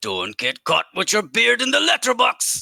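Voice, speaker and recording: A put-on character voice moves at a moderate pace, with a dry, close sound and no echo. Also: man, extremely high pitch for a man. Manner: imitation of the original voice line.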